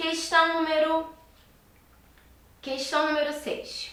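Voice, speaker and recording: A raised, projected voice from a woman, with audible room echo around it. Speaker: teacher. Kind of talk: lecture.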